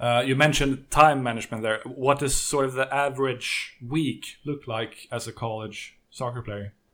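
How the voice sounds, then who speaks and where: This man speaks with a Swedish accent at a moderate pace. His intonation is fairly even. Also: medium pitch for a man, hardly any pauses. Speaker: podcast host and interviewer. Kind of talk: interview.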